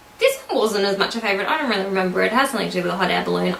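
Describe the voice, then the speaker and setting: Audible room echo with noticeable background noise behind it. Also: woman. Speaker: book reviewer. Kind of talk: casual book review vlog. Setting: at home with her dog. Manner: animated.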